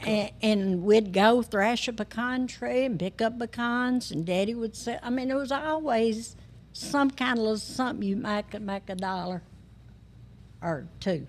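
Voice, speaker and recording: Speaking at a fairly slow pace, a woman with a Tennessee accent has a fairly high voice with ordinary pitch variation. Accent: Southern US, West Tennessee. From West Tennessee. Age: 80s+. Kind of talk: podcast interview answer.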